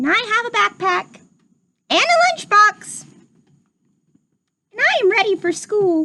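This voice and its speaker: The speaker performs a put-on character voice in an extremely high pitch. Delivery is fairly slow, broken by long, frequent pauses. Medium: read story.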